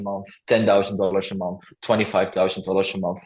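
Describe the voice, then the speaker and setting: This man speaks with a Dutch accent. His pace is fairly quick. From Netherlands. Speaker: coaching client, YouTube channel owner. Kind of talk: interview testimonial. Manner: halting, with fillers.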